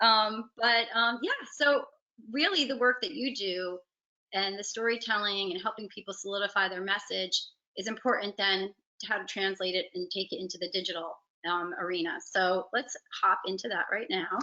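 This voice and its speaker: A woman speaks in a New Jersey accent at a medium pitch. Her pace is moderate and her pitch varies an ordinary amount. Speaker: digital marketing agency head. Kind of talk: webinar presentation.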